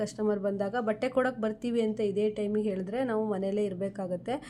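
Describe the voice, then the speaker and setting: A woman talks in a normal speaking voice. Her pitch is fairly high and her intonation fairly even. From Karnataka, Shivamogga district (Anandapura). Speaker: tailor and tailoring video creator. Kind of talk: vlog walk-and-talk. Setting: outdoors at railway station.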